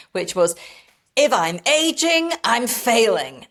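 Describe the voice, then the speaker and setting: A woman speaks with a British accent. Her pitch is high. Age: 60s. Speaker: lifestyle and skincare content creator. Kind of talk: interview conversation.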